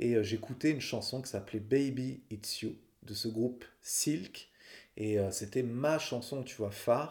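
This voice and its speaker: At a fairly slow pace, a man speaks in a medium pitch with ordinary pitch variation and a somewhat breathy voice. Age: 40s. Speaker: singer-songwriter and podcaster. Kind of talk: personal storytelling monologue. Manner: casual, conversational.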